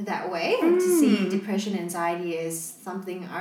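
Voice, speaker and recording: The speech comes at a moderate pace. Audible room echo and noticeable background noise are present. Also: woman. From Malaysia. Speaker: podcast co-host. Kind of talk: casual chat.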